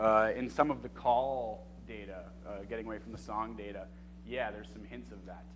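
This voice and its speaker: An American-accented man speaks at a moderate pace with big swings in loudness, and the room echo is audible. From Boston area, US. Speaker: graduate student, marine scientist. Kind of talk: thesis defense Q&A. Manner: hesitant, many fillers.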